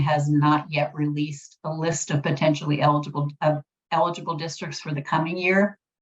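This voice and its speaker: A woman's very deep, low-pitched voice, somewhat breathy, at a moderate pace. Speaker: policy analyst presenting at a webinar. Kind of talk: webinar presentation.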